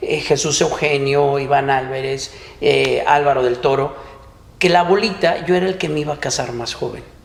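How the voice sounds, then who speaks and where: Audible room echo colors a voice with ordinary pitch variation. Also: man. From Mexico, Ciudad Guzmán, Jalisco. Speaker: podcast co-host and business owner. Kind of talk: casual chat.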